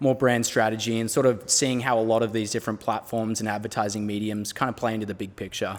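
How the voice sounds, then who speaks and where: The man's voice is fairly low. He talks with an Australian accent. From Australia, near Melbourne. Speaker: brand strategist. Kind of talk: interview.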